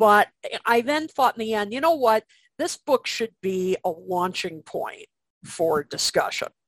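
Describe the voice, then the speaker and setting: A woman's fairly high voice with an American accent, very wide pitch swings and a fairly slow pace, in a dry, close sound with no echo. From US Midwest, Chicago area. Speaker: music writer and author. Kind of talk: casual interview.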